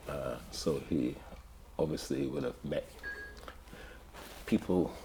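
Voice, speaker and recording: Noticeable background noise sits behind this recording. A man speaks at a very slow pace. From Barbados. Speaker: community elder. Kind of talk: interview storytelling. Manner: halting.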